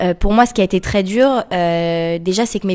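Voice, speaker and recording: This is a woman with an ordinary speaking voice at medium pitch. She talks at a moderate pace. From France, Paris. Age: 20s. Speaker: association co-founder. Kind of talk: radio interview.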